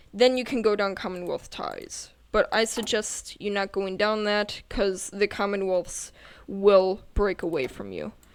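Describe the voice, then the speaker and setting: A woman uses a plain, everyday voice at a medium pitch, with fairly even intonation and a fairly slow pace, on a very clean recording with a silent background. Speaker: gaming youtuber. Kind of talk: game tutorial. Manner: casual.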